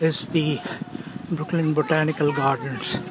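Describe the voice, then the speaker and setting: A man speaks at a very slow pace. Music plays in the background. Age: 70s. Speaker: amateur video blogger. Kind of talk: walking tour narration. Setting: outdoors on city streets. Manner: casual.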